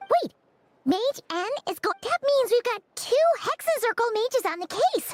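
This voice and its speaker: This is a put-on character voice pitched extremely high. The pace is moderate. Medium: video game.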